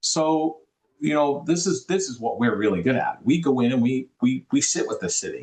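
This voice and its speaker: In a Boston accent, the speaker talks with lively intonation. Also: man, fairly high pitch for a man, moderate pace. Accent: Boston accent, noticeable. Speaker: affordable housing developer. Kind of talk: interview. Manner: halting, many repetitions.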